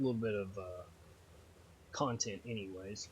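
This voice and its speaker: Somewhat breathy and relaxed in tone, this voice has a Texas accent, a moderate pace and ordinary pitch variation. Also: man. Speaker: gaming YouTuber. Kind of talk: gameplay commentary. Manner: casual, relaxed.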